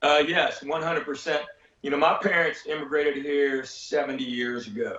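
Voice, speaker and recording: Someone speaks in a Southern US accent at a moderate pace with ordinary pitch variation. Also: man, fairly high pitch for a man. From Tennessee, USA. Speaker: stand-up comedian. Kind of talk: interview answer.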